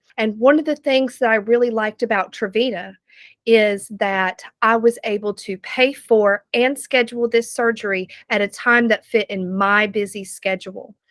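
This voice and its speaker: With a Southern US accent, a woman talks at a moderate pace in a fairly high pitch and fairly even intonation. The recording is very clean with a silent background, dry and close with no echo. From US South, North Carolina. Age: 30s. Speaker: patient giving testimonial. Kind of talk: testimony.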